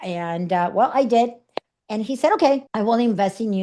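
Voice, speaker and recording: The background is quiet as a woman speaks at a moderate pace. Her tone is dark and mellow. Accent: Puerto Rican. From Puerto Rico. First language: Spanish. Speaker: speaker and coach. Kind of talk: interview storytelling. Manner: animated.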